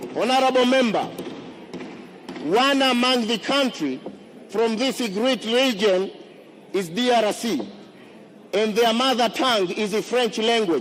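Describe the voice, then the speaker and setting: Amid noticeable background noise, a man with an extremely high pitch speaks at a fairly slow pace with long, frequent pauses, very even loudness and ordinary pitch variation. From Zanzibar, Tanzania. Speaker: member of parliament, candidate. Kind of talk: campaign speech in parliament. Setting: parliament chamber. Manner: formal.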